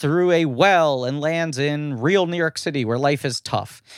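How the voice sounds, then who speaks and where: A fairly slow pace in a very clean recording with a silent background. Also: man. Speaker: podcast host and voice actor. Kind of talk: casual chat.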